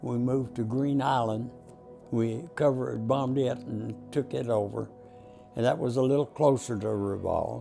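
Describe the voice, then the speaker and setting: Over music in the background, a man talks with a Texan accent. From Texas. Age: 80s+. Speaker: war veteran. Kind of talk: interview answer.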